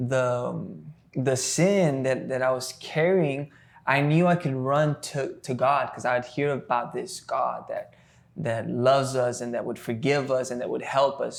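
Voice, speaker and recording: In a South Texas accent, a man speaks at a medium pitch. His pace is fairly slow and his intonation fairly even. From US South, Texas (Rio Grande Valley). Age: 20s. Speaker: worship leader. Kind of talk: casual podcast interview, faith testimony. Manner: halting, many fillers and repetitions.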